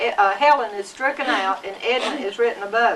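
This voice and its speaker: A woman with a Southern US accent speaks at a moderate pace in a raised, projected voice with lively intonation, over noticeable background noise. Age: 70s. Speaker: grandmother. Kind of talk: family interview. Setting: home video recording.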